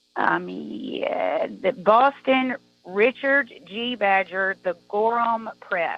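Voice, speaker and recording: A woman with an American accent at a very slow pace, music in the background. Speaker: caller. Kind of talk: call-in conversation. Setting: phone call.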